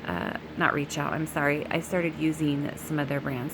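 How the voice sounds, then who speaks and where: A woman talks at a moderate pace. Noticeable background noise runs throughout. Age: middle-aged. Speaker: beauty vlogger. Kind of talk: tutorial.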